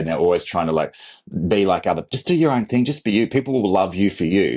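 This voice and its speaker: A man with an Australian accent speaks at a fairly low pitch with ordinary pitch variation. The background is quiet. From Australia, country Victoria. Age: 40s. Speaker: content creator and photographer. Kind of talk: interview conversation.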